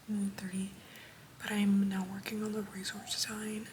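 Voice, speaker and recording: A woman speaks at medium pitch in a monotone, flat intonation. Noticeable background noise and audible room echo are present. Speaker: vlogger, university intern. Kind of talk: casual vlog. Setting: walking indoors at workplace. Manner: soft-spoken.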